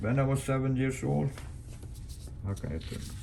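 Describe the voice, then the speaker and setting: A man's medium-pitched voice with a Swedish accent. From Sweden, Göteborg archipelago. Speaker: sailor. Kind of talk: casual storytelling. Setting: showing pictures.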